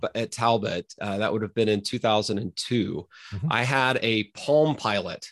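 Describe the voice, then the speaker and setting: Against a quiet background, a man talks at a fairly slow pace in a plain, everyday voice, with medium pitch and ordinary pitch variation. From US, Oklahoma. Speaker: philosophy professor. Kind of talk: casual interview conversation.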